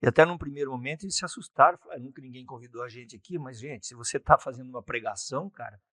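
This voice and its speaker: Very fast and with hardly any pauses, a man talks in a fairly high pitch with ordinary pitch variation, a bright, sharp tone and big swings in loudness, the sound dry and close with no echo. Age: 60s. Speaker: politician, former mayor. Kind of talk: interview.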